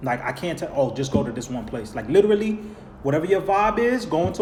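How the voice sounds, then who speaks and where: An animated New York accent at a fairly quick pace, with very wide pitch swings, audible room echo and noticeable background noise. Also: man. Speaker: vlogger. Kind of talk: live stream Q&A. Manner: casual, animated.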